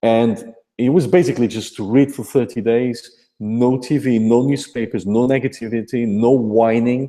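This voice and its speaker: With a Portuguese accent, a man speaks in a dark, mellow tone over a quiet background. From Portugal. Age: 40s. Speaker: affiliate marketer. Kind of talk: motivational testimony.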